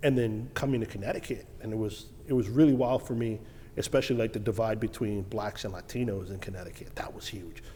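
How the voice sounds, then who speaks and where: Speaking at a very fast pace, a man with a New York accent keeps a medium pitch and ordinary pitch variation. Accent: New York City. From Brooklyn, New York. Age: 40s. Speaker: financial advisor. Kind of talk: casual chat.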